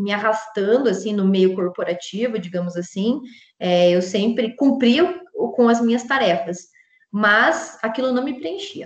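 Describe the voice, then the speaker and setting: In a strong Curitiba accent, a woman speaks at a fairly high pitch and a fairly slow pace. Her pitch swings very widely. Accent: strong Curitiba accent, marked E. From Brazil, Curitiba. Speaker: psychologist and logotherapist. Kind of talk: interview conversation. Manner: casual with many fillers.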